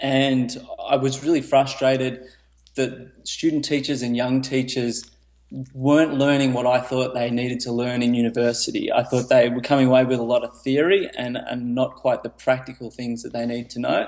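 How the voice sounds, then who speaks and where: An Australian accent marks this man's moderate-paced speech, delivered in a monotone, flat intonation. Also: medium pitch for a man. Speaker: teacher, author, entrepreneur. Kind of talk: podcast interview answer.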